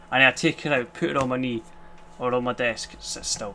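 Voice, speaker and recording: A man speaks with a Scottish accent. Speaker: vlogger, cancer patient. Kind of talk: casual vlog monologue. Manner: fast.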